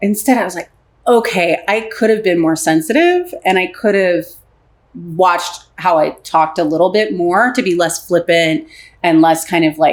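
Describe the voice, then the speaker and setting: With a Philadelphia accent, a woman speaks at a moderate pace in an animated tone and lively intonation. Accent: Philadelphia American. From Philadelphia, US. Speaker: relationship and intimacy coach. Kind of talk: podcast interview.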